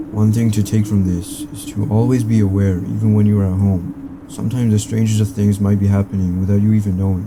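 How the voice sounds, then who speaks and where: Noticeable background noise sits behind a man with a fairly low pitch. He speaks at a fairly quick pace. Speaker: horror story narrator. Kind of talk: scary story narration.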